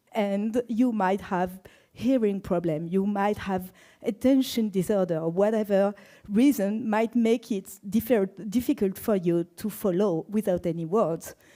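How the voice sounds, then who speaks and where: The voice has a dark, mellow tone and a French accent. Delivery is at a fairly slow pace with ordinary pitch variation. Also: woman, medium pitch for a woman. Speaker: database expert and conference speaker. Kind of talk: conference talk.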